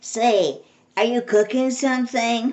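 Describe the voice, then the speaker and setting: In a raspy, put-on character voice, a woman speaks high-pitched and flat in a monotone at a fairly slow pace. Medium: read story. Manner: easygoing, curious.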